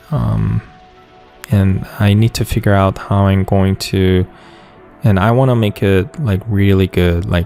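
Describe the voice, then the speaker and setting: A man speaks at a fairly slow pace in a fairly low pitch. Music plays in the background. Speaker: digital artist. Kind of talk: casual Q and A commentary. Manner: hesitant, stuttering.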